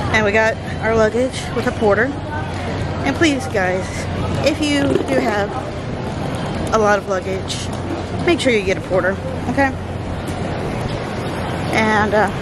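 Crowd noise fills the background as a woman speaks at a fairly slow pace, with a dry sound and no echo. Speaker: travel vlogger. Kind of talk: casual vlog chat. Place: street. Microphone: phone near.

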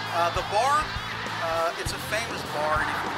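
Music plays behind a man speaking at a moderate pace. His pitch variation is ordinary.

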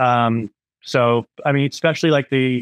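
A man speaks at a moderate pace in a clear, smooth tone, recorded with a dry, close sound that has no echo. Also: medium pitch for a man, fairly even intonation.

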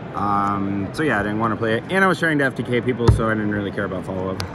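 Amid noticeable background noise, a man talks at a very fast pace in a dry sound with no echo. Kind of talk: casual deck explanation. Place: hall. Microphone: phone near.

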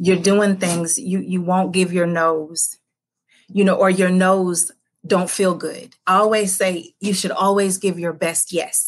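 The speaker is a woman. She takes a fairly slow pace. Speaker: podcast guest, life coach. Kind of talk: interview answer. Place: home room. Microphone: video call.

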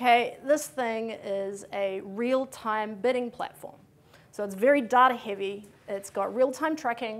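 Pitched fairly high, a woman's voice moves with ordinary pitch variation. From New Zealand. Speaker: conference speaker. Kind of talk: conference talk. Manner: fast. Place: hall.

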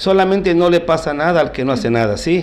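A man speaks with ordinary pitch variation. Light background noise sits underneath. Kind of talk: interview answer. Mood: calm, explanatory. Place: office. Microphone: handheld.

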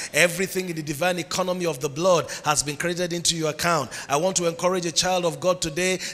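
Shouting in a Nigerian accent, a man talks at a very fast pace with a high pitch and an animated tone. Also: hardly any pauses. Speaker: preacher. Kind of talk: sermon. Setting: church with congregation. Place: church. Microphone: handheld.

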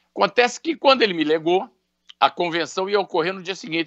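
Over a quiet background, a man speaks at a very fast pace in a high voice with lively intonation. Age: 60s. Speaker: businessman; interviewee. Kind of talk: interview. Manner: halting. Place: home room. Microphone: video call.

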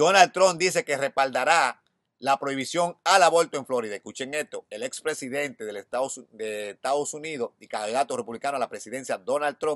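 The background is quiet as a man speaks. The sound is dry, with no echo. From Dominican Republic. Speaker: YouTube news commentator. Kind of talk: news reading with commentary. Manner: halting. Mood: concerned, serious. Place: garden. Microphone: phone near.

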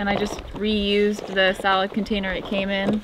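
Noticeable background noise runs beneath speech that keeps a moderate pace. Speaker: vlogger. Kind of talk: casual vlog chat. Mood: relaxed, cheerful. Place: beach.

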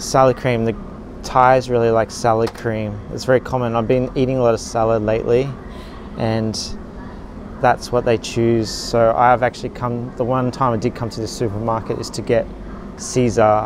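A man in a monotone, flat intonation, over noticeable background noise. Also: moderate pace, dry sound with no echo. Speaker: expat vlogger. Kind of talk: casual vlog chat. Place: shop. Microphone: phone near.

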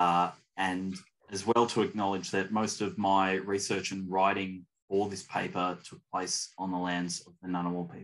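At a moderate pace, a man speaks with low pitch and little pitch movement.

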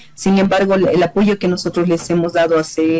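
Light background noise sits behind a woman speaking. Her pitch is fairly low, with ordinary pitch variation. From Bolivia. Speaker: deputy foreign minister. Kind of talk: interview. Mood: calm, serious. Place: office. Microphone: video call.

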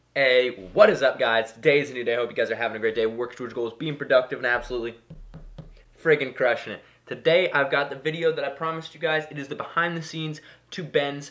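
A man rattles along very fast in a quiet setting, his pitch varying in an ordinary way. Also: big swings in loudness. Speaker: vlogger. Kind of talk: casual vlog chat. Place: workshop.

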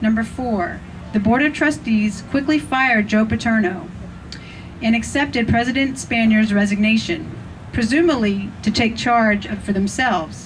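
Speaking with an American accent, a woman sounds somewhat breathy, with ordinary pitch variation. Her loudness stays very even over light background noise. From US Pennsylvania. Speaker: rally speaker. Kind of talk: rally speech, scripted-sounding recap of trustee decisions. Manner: formal, emphatic, deliberate, list-like, pointed. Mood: critical, earnest. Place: open country. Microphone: pa.

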